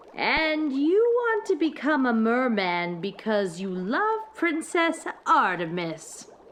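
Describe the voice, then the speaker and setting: A woman puts on a character voice, pitched high and moving very slowly through very wide pitch swings, with clear background noise behind her. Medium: read story. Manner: cooing, falsely soothing.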